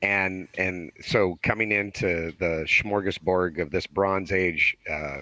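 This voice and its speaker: The speech moves at a very slow pace with fairly even intonation and hardly any pauses. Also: man, very deep, low pitch for a man. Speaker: podcast listener guest. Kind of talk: casual chat.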